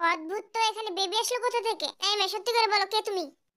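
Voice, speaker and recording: A woman puts on a squeaky character voice at an extremely high pitch. She talks at a very fast pace. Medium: fan dub. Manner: gruff, impatient.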